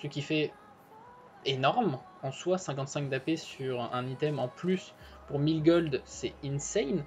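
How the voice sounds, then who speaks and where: Woman at a fairly slow pace, music in the background. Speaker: gaming YouTuber. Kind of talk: video commentary. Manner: halting, many fillers. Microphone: poor connection.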